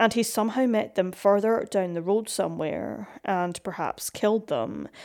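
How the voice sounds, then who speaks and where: A woman speaks at a medium pitch with fairly even intonation. It is an ordinary speaking voice. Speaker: podcast narrator. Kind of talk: true-crime narration. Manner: steady, solemn, measured; formal, scripted.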